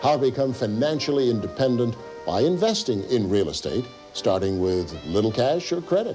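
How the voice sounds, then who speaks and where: A man speaks at a moderate pace in a medium pitch, his voice swinging very widely in pitch. Music plays in the background. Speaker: TV host. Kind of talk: infomercial host narration.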